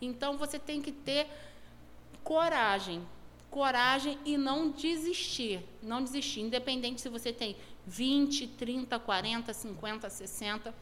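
A woman's high-pitched voice with ordinary pitch variation at a very slow pace, amid audible room echo. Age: 40s. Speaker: entrepreneur and event organizer. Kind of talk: casual interview.

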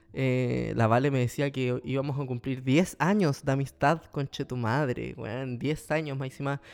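A man speaks with a Chilean accent. His pace is fairly slow. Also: medium pitch for a man. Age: 20s. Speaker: podcast host. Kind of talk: casual monologue. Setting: at home. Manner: animated.

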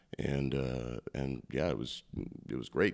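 A man speaks with a Midwestern US accent. His pitch is very deep and low, with vocal fry. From northeast Iowa (Postville). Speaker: comedian-magician. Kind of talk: casual interview.

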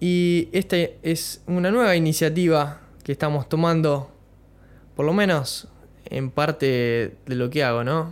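A man speaks very slowly at a fairly high pitch. His pitch varies in an ordinary way. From Argentina, Bahía Blanca (Buenos Aires province). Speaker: podcaster. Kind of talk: casual monologue. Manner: halting, many fillers.

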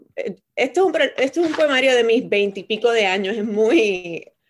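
With an unremarkable speaking voice, a woman speaks fairly slowly at a fairly high pitch, her intonation lively. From Puerto Rico. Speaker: poet and university professor. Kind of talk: casual interview.

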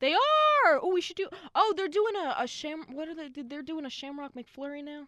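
A woman with a high pitch and lively intonation uses a raised, projected voice at a moderate pace, with big swings in loudness. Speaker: podcast co-host. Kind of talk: casual chat.

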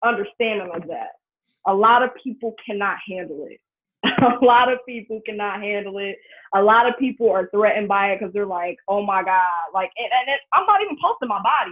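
Speaking at a fairly quick pace in an American accent, a woman with a medium pitch and ordinary pitch variation swings widely in loudness. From US Midwest, Cincinnati, Ohio. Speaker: social media influencer. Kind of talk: casual interview.

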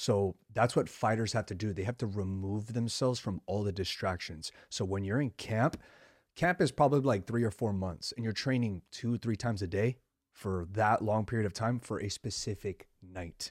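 A plain, everyday voice from a man, fairly low pitch with ordinary pitch variation, moderate pace, and a dry, close sound with no echo. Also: very clean recording, silent background. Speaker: podcast host. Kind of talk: casual interview conversation.

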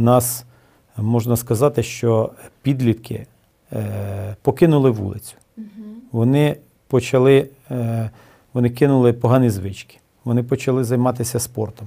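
With fairly even intonation and a dark, mellow tone, a man speaks at a medium pitch and a fairly slow pace, taking long, frequent pauses. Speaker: city mayor. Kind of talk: interview. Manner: hesitant with filler sounds.

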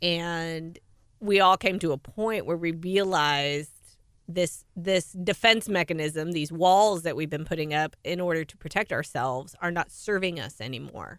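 A woman with an American accent uses an ordinary speaking voice, fairly low in pitch, with ordinary pitch variation at a moderate pace. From US (California, then Oklahoma). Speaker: podcast co-host, author. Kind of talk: casual chat.

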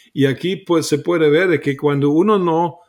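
A fairly slow pace in a German accent, on a very clean recording with a silent background. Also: man. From Germany. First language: German (speaking Spanish). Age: 60s. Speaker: preacher, author. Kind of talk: interview on Bible teaching.

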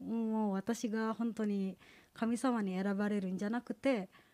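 Fairly high for a woman yet dark and mellow in tone, her voice carries an Indonesian accent at a fairly slow pace, captured dry and close with no echo on a very clean recording with a silent background. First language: Indonesian (speaking Japanese). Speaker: graduate student, church member giving testimony. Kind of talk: testimony. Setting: church service. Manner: halting.

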